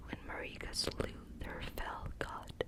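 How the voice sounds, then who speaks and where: Whispering, a woman speaks at a very slow pace. Noticeable background noise sits behind her. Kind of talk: ASMR lore reading. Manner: whispered, soft-spoken.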